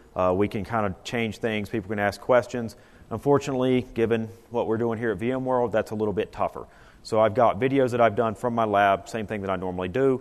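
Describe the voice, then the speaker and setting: With a Southern US accent, a man talks at a very fast pace. His pitch is medium and his intonation fairly even. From US South, North Carolina. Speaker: IT consultant presenter. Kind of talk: conference presentation. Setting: conference room with audience. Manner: casual, conversational.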